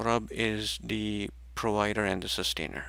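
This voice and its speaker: A man with a fairly low pitch, a bright, sharp tone, lively intonation and vocal fry. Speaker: religious study teacher. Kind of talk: rehearsal of a study session. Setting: livestream. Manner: soft-spoken.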